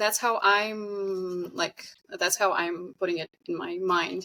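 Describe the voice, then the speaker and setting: With a non-native accent and a bright, sharp tone, a woman speaks with hardly any pauses. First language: not English. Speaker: singer and game vocalist. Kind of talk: casual chat.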